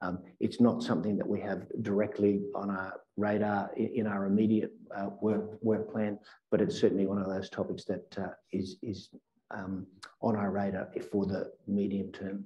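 Little pitch movement, a dark, mellow tone and a moderate pace. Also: man, fairly low pitch for a man.

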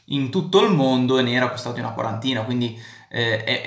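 A man speaks at a fairly quick pace. Room echo is audible. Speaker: film commentator vlogger. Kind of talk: commentary. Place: home room. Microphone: phone near.

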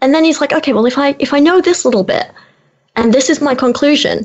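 Speaking at a very fast pace in a British accent, a woman has a high pitch and ordinary pitch variation. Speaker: YouTuber and activist. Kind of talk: casual interview chat.

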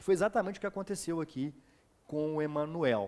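This man has a fairly high pitch. He speaks at a very fast pace. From Minas Gerais, Brazil (Ubá); Minas Gerais, Brazil. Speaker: exam prep teacher and interviewer; exam prep teacher, interviewer. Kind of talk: interview. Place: studio. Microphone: headset.

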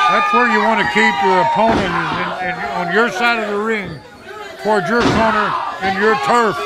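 Loud background noise runs under the speech at a moderate pace. The sound is dry with no echo. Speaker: wrestling commentator. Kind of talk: live wrestling commentary.

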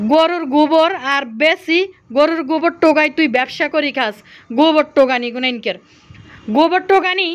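With a Bangladeshi accent, a woman talks at a high pitch with ordinary pitch variation. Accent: regional Bangladeshi dialect. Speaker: YouTube vlogger. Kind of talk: angry rant vlog.

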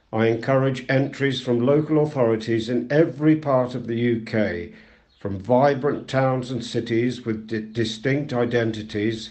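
In an unremarkable speaking voice, a man talks at a fairly slow pace and a medium pitch. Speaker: volunteer news reader. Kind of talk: reading aloud.

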